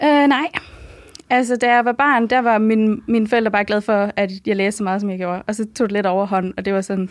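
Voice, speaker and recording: A woman speaks at a medium pitch and a fairly quick pace. She has an unremarkable speaking voice with fairly even intonation. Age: 20s. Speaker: medical student. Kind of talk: casual interview.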